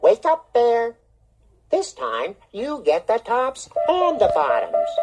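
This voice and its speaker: The delivery crawls along at a very slow pace. It is a put-on character voice. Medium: read story. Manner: smooth, persuasive, chuckling.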